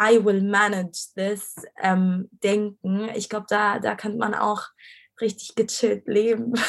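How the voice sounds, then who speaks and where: A woman speaks at a medium pitch. Her delivery is very slow and monotone, with flat intonation. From Egypt, Cairo. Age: 20s. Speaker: design student. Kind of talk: casual interview.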